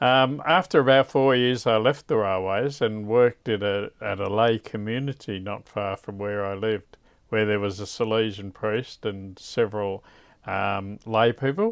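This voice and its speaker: With an Australian accent, a man talks in a fairly low voice with ordinary pitch variation. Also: moderate pace. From Australia, Victoria (Koroit). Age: 60s. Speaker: religious brother. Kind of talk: interview.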